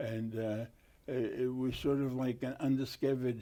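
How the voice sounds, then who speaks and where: A man with a Boston accent speaks at a moderate pace and medium pitch, his dark, mellow tone held in a flat monotone. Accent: Boston-area New England. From Massachusetts, Lynn (North Shore). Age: 80s+. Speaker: war veteran. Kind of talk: oral history interview. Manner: halting, many fillers.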